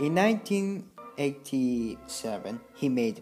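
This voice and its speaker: With music in the background, a speaker with a non-native accent talks at a very slow pace. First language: non-native English speaker. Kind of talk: documentary narration about a film director.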